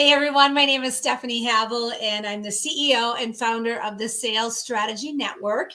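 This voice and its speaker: Her tone is bright and sharp, a woman's fairly high pitch set in a Minnesota accent. She keeps a moderate pace and fairly even intonation, with audible room echo around her. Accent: Minnesota twang. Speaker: sales strategist and business founder. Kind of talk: interview.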